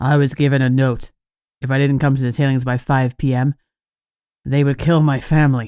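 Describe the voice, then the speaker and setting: Doing a put-on character voice, a man speaks fairly quickly at a medium pitch, flat and monotone, with long, frequent pauses. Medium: read story.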